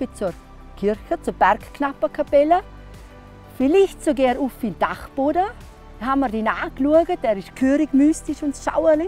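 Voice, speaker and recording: At a moderate pace with lively intonation, the voice sounds dry with no echo while faint music plays in the background. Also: woman. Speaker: storyteller and hiking guide; former school teacher. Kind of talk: interview answer. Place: open country. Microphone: lapel.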